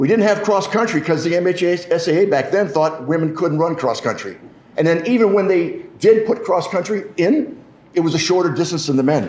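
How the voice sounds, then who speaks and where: A man with a Midwestern American accent, high in pitch, at a moderate pace and very even loudness, with audible room echo and noticeable background noise. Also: ordinary pitch variation. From Michigan. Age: 60s. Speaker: politician. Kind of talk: press conference speech.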